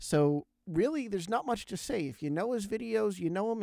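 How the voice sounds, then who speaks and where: A man with an American accent speaks at a fairly quick pace, with lively intonation, in a normal speaking voice. The recording is very clean, with a silent background and a dry, close sound with no echo. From Pennsylvania. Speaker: podcast host. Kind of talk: interview; podcast intro/outro.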